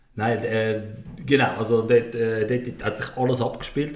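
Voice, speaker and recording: The speech moves at a moderate pace with fairly even intonation. Noticeable background noise and audible room echo fill the recording. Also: man. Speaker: podcast host. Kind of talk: casual chat.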